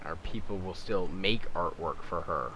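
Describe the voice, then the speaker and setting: In a room with audible echo, a man talks at a fairly slow pace in a bright, sharp tone with monotone, flat intonation. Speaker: YouTuber making game skins. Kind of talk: casual tutorial commentary.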